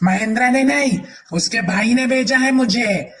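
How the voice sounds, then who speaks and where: Using a cartoonish character voice, a man speaks at a moderate pace. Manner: taunting, cackling.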